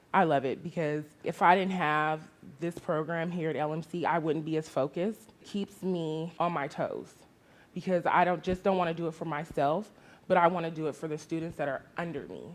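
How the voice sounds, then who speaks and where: A woman speaks at a moderate pace with a fairly low pitch and monotone, flat intonation on a very clean recording with a silent background. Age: 30s. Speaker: community college student. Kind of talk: testimony.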